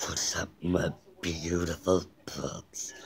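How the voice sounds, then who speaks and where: A man puts on a raspy character voice with a very deep, low pitch. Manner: cheerful, playful.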